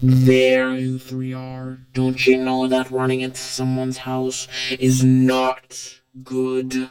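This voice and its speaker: In a cartoonish character voice, a man talks very slowly at a medium pitch with flat, monotone intonation. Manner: contemptuous, taunting.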